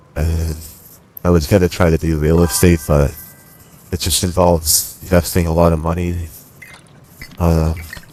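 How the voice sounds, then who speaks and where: With music in the background, a voice in an American accent speaks at a moderate pace in a flat monotone, with long, frequent pauses. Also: man, very deep, low pitch for a man. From US Northeast, Boston. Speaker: gaming streamer. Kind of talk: casual chat.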